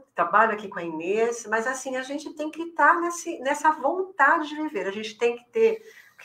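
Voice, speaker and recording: The speaker is a woman. Her pitch moves in very wide swings. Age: 60s. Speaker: elder care specialist. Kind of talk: podcast interview. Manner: hesitant, many fillers.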